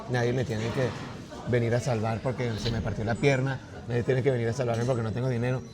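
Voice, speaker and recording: Noticeable background noise and audible room echo surround a man's medium-pitched voice. He talks at a very fast pace with monotone, flat intonation. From Venezuela, partly raised in China. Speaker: artist and writer. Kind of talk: casual interview conversation.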